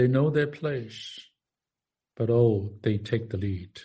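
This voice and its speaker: A man of medium pitch speaks very slowly, somewhat breathy, in a dark, mellow tone with ordinary pitch variation. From Far East. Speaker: minister. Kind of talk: sermon. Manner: halting.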